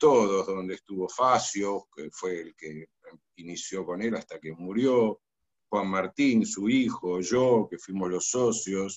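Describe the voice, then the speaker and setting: Recorded with a dry, close sound and no echo, a man speaks at a fairly slow pace in a Rioplatense accent. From Argentina, Buenos Aires. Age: 70s. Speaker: architect. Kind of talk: interview. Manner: halting.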